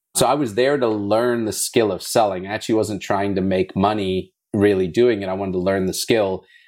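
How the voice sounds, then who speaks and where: An ordinary speaking voice, heard on a very clean recording with a silent background, moves at a fairly quick pace with hardly any pauses and fairly even intonation. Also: man, fairly low pitch for a man. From South Africa, moved to US at eleven. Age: 30s. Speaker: blockchain gaming entrepreneur. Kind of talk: interview.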